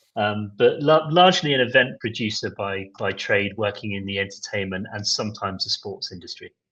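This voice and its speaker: With a British accent, a man speaks at a fairly quick pace with hardly any pauses, a fairly low pitch and a bright, sharp tone. His intonation is lively and his loudness swings widely. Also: quiet background. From Britain, Glasgow area. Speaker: event producer. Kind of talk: podcast interview.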